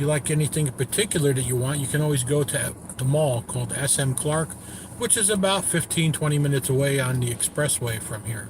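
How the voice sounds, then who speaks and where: A man talks very fast in an American accent, his pitch fairly high and its variation ordinary. Noticeable noise sits in the background. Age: 60s. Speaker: travel vlogger. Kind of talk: casual live-stream narration.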